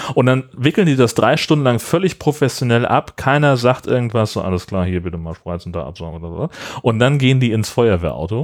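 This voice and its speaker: At a fairly quick pace, a medium-pitched man speaks with very wide pitch swings. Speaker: podcast co-host. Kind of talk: casual chat.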